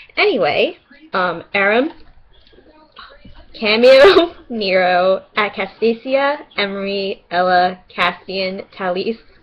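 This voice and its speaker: A woman with a New York accent talks at a very slow pace with lively intonation. Her long, frequent pauses come over noticeable background noise. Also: medium pitch for a woman. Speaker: vlogger. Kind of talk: casual webcam vlog. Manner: animated.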